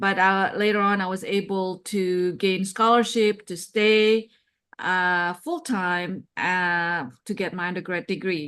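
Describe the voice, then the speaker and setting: Against a quiet background, a woman with a non-native accent speaks very slowly at medium pitch with fairly even intonation. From outside the US, non-English-speaking country. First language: not English. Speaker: cybersecurity executive and advisor. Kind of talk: interview.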